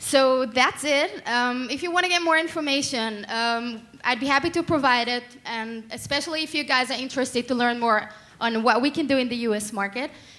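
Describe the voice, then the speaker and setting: A woman talks at a fairly quick pace in a high voice with ordinary pitch variation. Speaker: startup co-founder. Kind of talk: startup pitch. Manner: fast.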